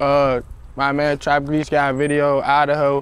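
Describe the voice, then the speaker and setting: In an American accent, a man with fairly high pitch talks at a very slow pace, the sound dry with no echo. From Maryland, Walker Mill Road area (Prince George's County); Maryland. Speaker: rapper; interviewee. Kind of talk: casual interview. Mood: relaxed, laid-back. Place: street. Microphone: lapel.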